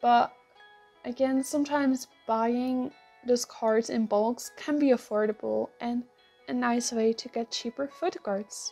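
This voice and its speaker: A woman with a Dutch accent, high-pitched, fairly slow, with ordinary pitch variation and music in the background. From Netherlands. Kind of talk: casual talk to camera. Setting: earphone mic.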